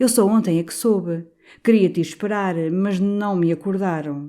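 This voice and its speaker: In a put-on character voice, a woman mumbles in a timid tone at medium pitch and a moderate pace, with ordinary pitch variation and big swings in loudness. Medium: read story. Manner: timid, mumbling.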